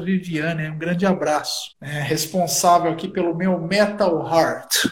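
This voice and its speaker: A man's high-pitched voice is heard with noticeable noise in the background. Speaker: bass player and historian. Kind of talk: casual chat. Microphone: poor sound quality.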